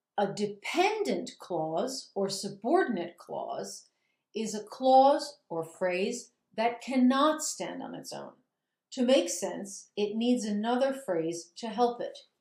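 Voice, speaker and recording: A woman's fairly high voice at a very slow pace, with lively intonation, big swings in loudness and audible room echo. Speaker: grammar teacher. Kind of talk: recorded lecture.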